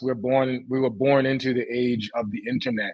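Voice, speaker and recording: A man with a New York accent talks at a moderate pace and medium pitch, with fairly even intonation. The sound is dry with no echo, over a quiet background. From Brooklyn, New York. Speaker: tech founder; guest. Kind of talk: interview. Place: home room. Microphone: video call.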